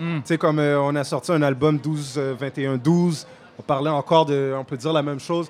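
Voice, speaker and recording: Fairly high in pitch, a man talks with fairly even intonation. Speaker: rapper. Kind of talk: casual interview. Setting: festival tent.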